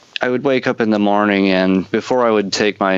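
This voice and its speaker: Over noticeable background noise, a man with a fairly low pitch talks at a fairly quick pace with fairly even intonation, the sound dry and close with no echo. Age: 30s. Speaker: podcast host. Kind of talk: casual interview.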